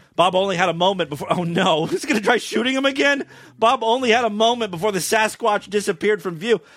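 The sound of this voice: The voice heard here is an unforced reading voice.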